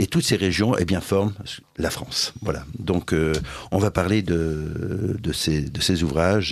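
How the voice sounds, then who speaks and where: A man talks with ordinary pitch variation. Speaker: radio host. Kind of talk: radio interview. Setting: radio studio. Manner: hesitant, many fillers.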